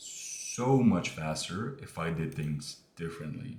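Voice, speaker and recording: A man's very deep, low, somewhat breathy voice with lively intonation and audible room echo. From Morocco. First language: not English (Moroccan). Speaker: online business creator. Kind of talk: casual talking-head monologue. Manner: casual, hesitant with fillers.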